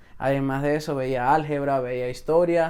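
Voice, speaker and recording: A man speaks with a dark, mellow tone. His intonation stays monotone and flat. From Venezuela. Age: 20s. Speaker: salesman. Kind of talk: podcast interview.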